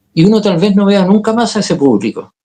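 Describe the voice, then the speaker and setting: A man with a Chilean accent, a dark, mellow tone and lively intonation at a moderate pace. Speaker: actor, director and communication coach. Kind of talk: interview.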